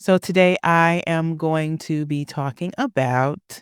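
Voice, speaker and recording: Very slow speech on a very clean recording with a silent background. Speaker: podcast host. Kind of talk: personal monologue podcast.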